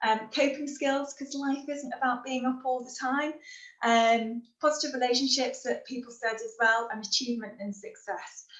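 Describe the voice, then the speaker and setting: A Liverpool accent at a moderate pace, with ordinary pitch variation and big swings in loudness. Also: woman, high pitch for a woman. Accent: Scouse. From Liverpool, northern England. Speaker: happiness and resilience trainer. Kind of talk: webinar talk.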